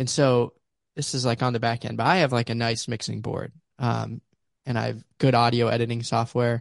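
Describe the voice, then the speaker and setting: A man with an American accent speaks at a moderate pace and medium pitch, his intonation monotone and flat. The sound is dry and close with no echo, over a quiet background. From Pittsburgh, Pennsylvania. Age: young. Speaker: podcast co-host. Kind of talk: casual chat. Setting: video call.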